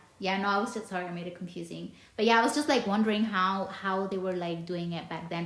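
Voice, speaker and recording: A woman talks with fairly even intonation, and the room echo is audible. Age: 30s. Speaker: podcast host. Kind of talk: casual interview chat. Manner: halting, many false starts.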